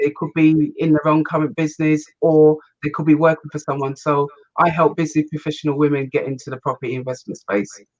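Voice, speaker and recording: A woman talks at a very fast pace in a very deep, low voice with fairly even intonation. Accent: English. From England, Kent. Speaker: business and property investment coach. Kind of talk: interview.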